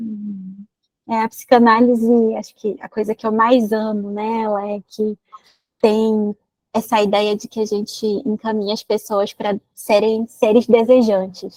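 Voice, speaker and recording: A woman speaks fairly slowly in a fairly high, flat monotone, the sound dry and close with no echo. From Manaus, Amazonas, Brazil. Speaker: psychologist. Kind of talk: live stream interview chat.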